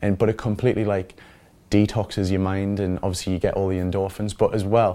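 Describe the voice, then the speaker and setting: A man with a Geordie accent, very fast and fairly low-pitched, in a dark, mellow tone and monotone, flat intonation. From Newcastle, northeast England. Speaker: reality TV personality. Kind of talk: interview.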